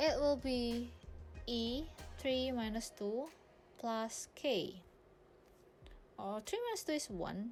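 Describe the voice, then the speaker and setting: Over music in the background, a woman with a high voice speaks very slowly, leaving long, frequent pauses. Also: ordinary pitch variation. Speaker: freelance math tutor. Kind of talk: tutorial. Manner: casual, informal.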